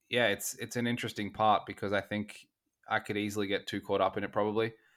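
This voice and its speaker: Speaking with an Australian accent, a man keeps a fairly quick pace. His fairly low voice stays monotone and flat. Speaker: betting podcast host. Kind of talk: interview.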